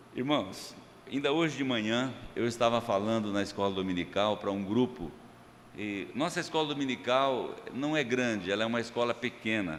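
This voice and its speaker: The pace is moderate and the pitch varies in an ordinary way. Room echo is audible. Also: man, medium pitch for a man. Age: 60s. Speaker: pastor. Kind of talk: sermon. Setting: church. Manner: casual, joking.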